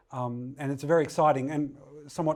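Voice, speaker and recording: A man talks at a very fast pace with an Australian accent. His tone is dark and mellow. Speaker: technical director, data specialist. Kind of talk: lecture. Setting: webinar. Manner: hesitant, many fillers.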